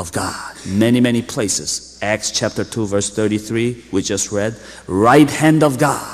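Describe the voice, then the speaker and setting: This is an ordinary speaking voice. It moves at a fairly slow pace with ordinary pitch variation. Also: man. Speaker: pastor. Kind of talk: sermon.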